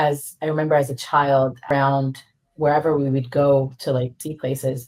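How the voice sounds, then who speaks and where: A woman with an American accent, very deep and low in pitch, monotone and flat in intonation, at a moderate pace. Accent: American-sounding. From Israel, English-speaking environment. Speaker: real estate investor. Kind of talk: podcast interview.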